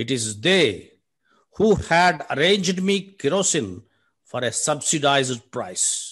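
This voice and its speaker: A man's very slow, fairly high voice with vocal fry, very wide pitch swings, and a Telugu accent, over a quiet background. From South India. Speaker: poet. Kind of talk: poetry reading. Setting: video call. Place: home room. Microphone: video call.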